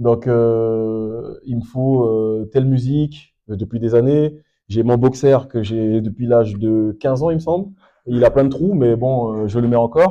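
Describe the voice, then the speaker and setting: A man with a medium pitch talks fairly slowly, his pitch varying in an ordinary way. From French Guiana. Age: 30s. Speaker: amateur footballer. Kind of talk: post-match interview. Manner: hesitant, many fillers.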